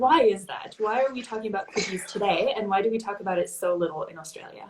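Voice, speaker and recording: A woman with a North American accent talks at a very fast pace in a medium pitch, with ordinary pitch variation and big swings in loudness. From Canada. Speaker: digital marketing agency host. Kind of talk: live-streamed interview. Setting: Instagram live video call.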